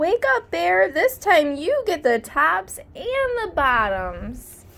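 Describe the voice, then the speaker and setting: A woman puts on a character voice, pitched high and paced extremely slowly. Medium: read story. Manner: cheerful, sly.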